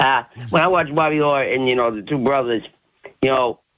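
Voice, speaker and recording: This man has an ordinary speaking voice, a medium pitch and ordinary pitch variation. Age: 60s. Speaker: caller. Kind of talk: radio call-in.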